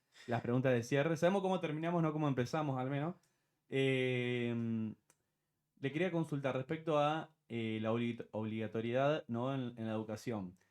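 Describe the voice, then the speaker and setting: A man with a plain, everyday voice, medium pitch, ordinary pitch variation and a moderate pace. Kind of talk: interview.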